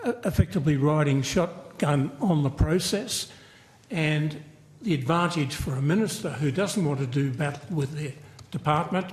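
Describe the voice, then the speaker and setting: Speaking at a moderate pace, a man with an Australian accent has a fairly high, somewhat breathy voice with ordinary pitch variation. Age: 80s+. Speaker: aviation community advocate. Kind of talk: parliamentary hearing testimony. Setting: committee hearing.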